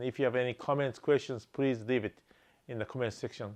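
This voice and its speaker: Medium pitch from a man against a quiet background. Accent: Japanese. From Japan. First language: Japanese. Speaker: real estate investor. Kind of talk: channel introduction.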